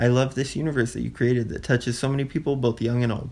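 Against a quiet background, a man with an unremarkable speaking voice talks at a medium pitch with fairly even intonation. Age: 20s. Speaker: podcast guest. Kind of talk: casual chat.

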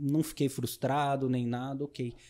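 Monotone, flat intonation from a man at medium pitch, dark and mellow in tone, at a moderate pace. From interior of São Paulo state, Brazil (Itapuí, near Jaú). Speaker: triathlon coach. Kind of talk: casual interview chat. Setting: outdoors at a triathlon expo.

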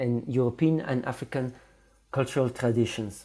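The voice has a dark, mellow tone, captured in a very clean recording with a silent background. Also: man. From DR Congo, then Flemish Belgium from age 12. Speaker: visual artist. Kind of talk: interview answers. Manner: halting, many fillers.

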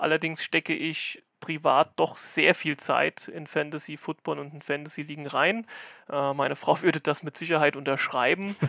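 The voice has vocal fry and fairly even intonation. It moves at a moderate pace with big swings in loudness. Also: man, fairly high pitch for a man. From Germany, Rhineland-Palatinate (near Kaiserslautern). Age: 20s. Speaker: fantasy football player and league organiser. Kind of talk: podcast explainer.

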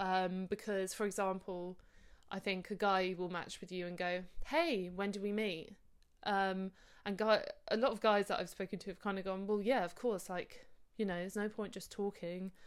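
Speaking with an English accent, a woman keeps a medium pitch and fairly even intonation. Her moderate pace comes through a very clean recording with a silent background. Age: 30s. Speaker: podcast host. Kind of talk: casual monologue.

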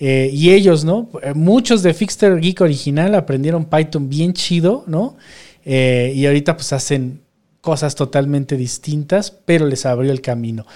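In a Mexican accent, a man talks at a fairly slow pace with a fairly high pitch. His tone is dark and mellow, with ordinary pitch variation. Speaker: podcast host, programmer. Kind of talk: casual chat.

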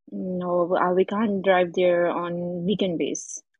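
The voice has a non-native accent and a monotone, flat intonation. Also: woman. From Pakistan. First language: not English. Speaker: caller. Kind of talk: casual chat seeking advice. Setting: live audio room. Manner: halting.

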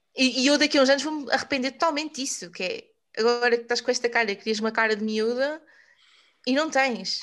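This woman's pitch is high. She speaks at a very fast pace. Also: ordinary pitch variation, quiet background. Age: 20s. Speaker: podcast host on personal development. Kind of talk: casual chat.

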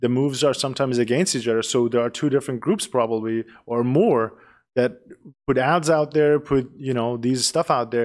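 Speaking at a fairly quick pace, a man uses a medium pitch and ordinary pitch variation in a Persian accent. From Iran, Tehran. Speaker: podcast co-host. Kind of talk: casual chat. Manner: halting, searches for words.

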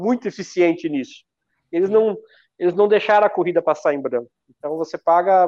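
A man speaks at a moderate pace. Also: dry, close sound with no echo, quiet background. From Paraná, Brazil (Argentine border). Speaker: retired elite runner, race timing business owner. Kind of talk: live-stream interview.

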